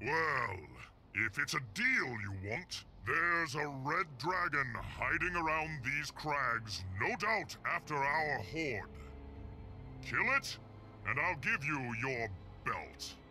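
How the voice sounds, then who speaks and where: Someone uses a put-on character voice at a very slow pace, with long, frequent pauses. Clear background noise is audible. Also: man, fairly high pitch for a man. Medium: video game. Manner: mocking, arrogant.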